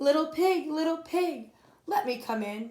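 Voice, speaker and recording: A squeaky, put-on character voice is heard. It moves at a moderate pace. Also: woman, extremely high pitch for a woman. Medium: read story. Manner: sly, sweetly coaxing.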